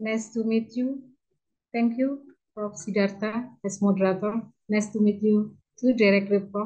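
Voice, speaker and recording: With a Madura accent, a woman speaks in a dark, mellow tone with fairly even intonation. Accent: Madurese Indonesian. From Indonesia, Madura. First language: Indonesian or Madurese. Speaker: law lecturer. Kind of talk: conference presentation. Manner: halting.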